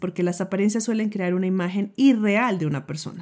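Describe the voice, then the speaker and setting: Over a silent background in a very clean recording, a woman speaks at medium pitch and a moderate pace with a dark, mellow tone. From Colombia. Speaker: nutritionist and podcast host. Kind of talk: personal storytelling monologue.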